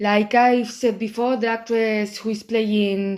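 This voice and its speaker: A woman's fairly high voice with a strong Spanish accent and monotone, flat intonation. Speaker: YouTuber commenting on films. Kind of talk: casual video commentary. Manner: careful over-articulated pronunciation.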